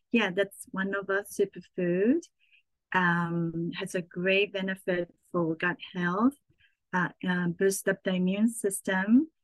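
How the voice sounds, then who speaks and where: A woman with a Japanese accent at a very slow pace, fairly even intonation, dry, close sound with no echo. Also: medium pitch for a woman. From Japan (Saitama, near Tokyo). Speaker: chef and cookbook author. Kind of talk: casual interview.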